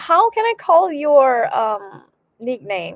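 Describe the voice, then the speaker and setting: A high-pitched woman at a very slow pace, pitch swinging very widely. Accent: Korean. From Korea. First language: Korean. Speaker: violin teacher and graduate student. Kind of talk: casual livestream chat. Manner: halting.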